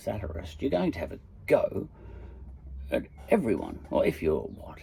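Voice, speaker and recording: This man talks at a moderate pace with an Australian accent. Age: 50s. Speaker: podcaster. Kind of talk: casual monologue. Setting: in a shed. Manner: hesitant, lots of fillers.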